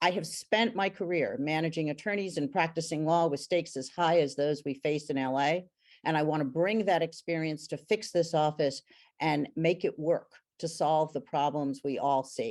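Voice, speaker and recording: A woman's very deep, low pitch at a moderate pace, with ordinary pitch variation and a quiet background. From Puerto Rico (San Juan). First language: Spanish. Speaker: political candidate, lawyer. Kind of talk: campaign debate opening statement. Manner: formal.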